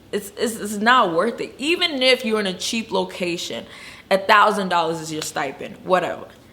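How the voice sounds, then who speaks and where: A woman talks at a moderate pace with lively intonation and a medium pitch. Noticeable background noise runs underneath. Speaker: travel nurse and video blogger. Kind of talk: casual vlog talk. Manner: stuttering at times.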